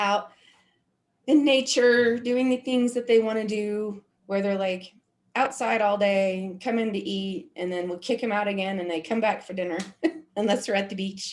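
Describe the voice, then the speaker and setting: In an American accent, a woman talks with a normal speaking voice at medium pitch. Her pace is moderate and her pitch variation ordinary. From Oklahoma, US. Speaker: community leader. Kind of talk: casual chat.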